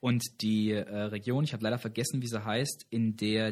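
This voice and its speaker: A man speaks at a moderate pace and medium pitch. His is an unremarkable speaking voice. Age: 20s. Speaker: campus radio host. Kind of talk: casual trivia chat show.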